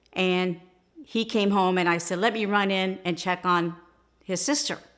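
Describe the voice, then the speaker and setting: A woman's normal speaking voice at a medium pitch and a moderate pace. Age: 60s. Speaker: grandmother interviewed by grandson. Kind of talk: family interview, recalling memories.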